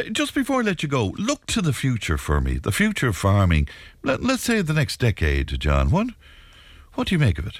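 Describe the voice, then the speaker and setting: The recording is very clean, with a silent background. A man speaks with an Irish accent. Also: moderate pace. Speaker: radio host. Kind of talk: radio talk show. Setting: studio.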